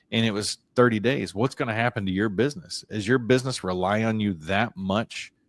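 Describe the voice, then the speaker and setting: At a fairly quick pace, a man with medium pitch and an unremarkable speaking voice is heard in a very clean recording with a silent background and a dry, close sound with no echo. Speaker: business podcast co-host. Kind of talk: casual chat.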